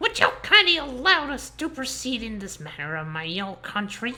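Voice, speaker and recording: A female-sounding put-on character voice, high-pitched, with very wide pitch swings. It moves at a moderate pace. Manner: formal, pompous.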